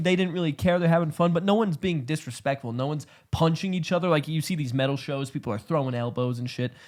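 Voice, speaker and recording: A very fast, animated man's voice, fairly high in pitch, with ordinary pitch variation and hardly any pauses, on a very clean recording with a silent background. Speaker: podcast co-host, band member. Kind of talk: casual chat.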